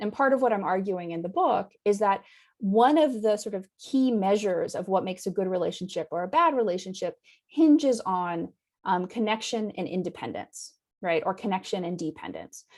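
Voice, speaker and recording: Over a quiet background, a woman with an American accent and a medium pitch uses an unremarkable speaking voice with lively intonation at a moderate pace. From United States. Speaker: anthropologist, university academic. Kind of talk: academic lecture over video call. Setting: video call. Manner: conversational with frequent fillers (um).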